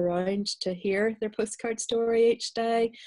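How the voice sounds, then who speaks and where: With a Northern Irish accent, the voice has a dark, mellow tone and fairly even intonation against a quiet background. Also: woman. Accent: Northern Irish (Belfast). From Northern Ireland, Belfast. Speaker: novelist. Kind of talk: interview and reading aloud. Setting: video call. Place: home room. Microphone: video call.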